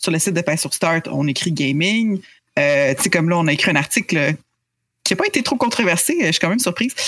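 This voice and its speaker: Using an ordinary speaking voice, the speaker moves at a fairly quick pace with lively intonation. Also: woman, fairly low pitch for a woman. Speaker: video game journalist. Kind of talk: podcast interview.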